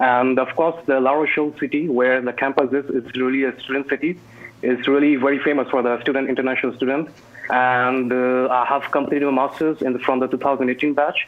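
Speaking at a fairly quick pace, a man delivers his words in a monotone, flat intonation. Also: very even loudness. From India. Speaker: alumnus and startup founder. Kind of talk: online Q&A. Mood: warm, grateful. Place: home room. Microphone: earbuds.

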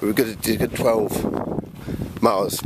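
Loud background noise surrounds a man speaking. The sound is dry with no echo. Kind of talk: casual vlog chat. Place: open country. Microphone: phone near.

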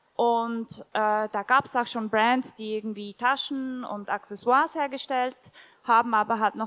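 Moderate-paced speech in a Swiss German accent. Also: woman. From Switzerland. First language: Swiss German (speaking German). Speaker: shoe company founder; panelist. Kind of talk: panel discussion. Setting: stage with audience. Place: hall. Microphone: handheld.

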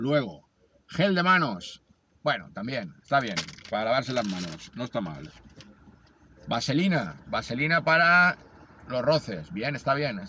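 A man at medium pitch with vocal fry, very wide pitch swings, a fairly slow pace, and long, frequent pauses. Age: 40s. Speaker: amateur runner and video blogger. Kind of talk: vlog narration.

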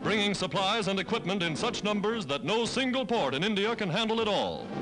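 The speech moves at a moderate pace while clear music plays in the background. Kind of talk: newsreel narration. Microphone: old recording.

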